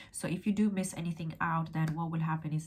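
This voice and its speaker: Somewhat breathy, a woman talks at a fairly quick pace in a very deep, low pitch. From England. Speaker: law graduate and tutor; tutor. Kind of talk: educational vlog. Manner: fast. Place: home room. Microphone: phone near.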